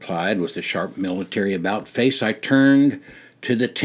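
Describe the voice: What's heard is plain reading aloud.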